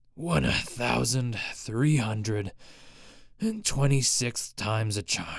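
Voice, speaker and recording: A raspy put-on character voice at a very slow pace, with ordinary pitch variation. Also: man, medium pitch for a man. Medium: read story. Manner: gruff, curt.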